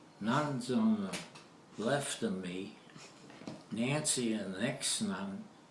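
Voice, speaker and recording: A man with an American accent talks at a very slow pace and a medium pitch, with ordinary pitch variation. Audible room echo and noticeable background noise are present. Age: 90s. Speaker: elderly interviewee. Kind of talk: casual reminiscing interview.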